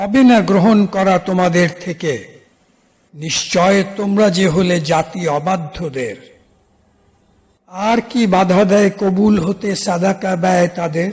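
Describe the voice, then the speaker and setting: Here a man speaks at a high pitch. His pitch varies in an ordinary way. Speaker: Quran reciter and translator. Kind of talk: rhymed verse translation reading of scripture.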